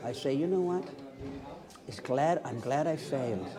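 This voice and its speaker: There is noticeable background noise and audible room echo. Through it, a man speaks with ordinary pitch variation. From Newfoundland, Canada. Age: 70s. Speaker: retired English teacher. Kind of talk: street interview. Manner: halting.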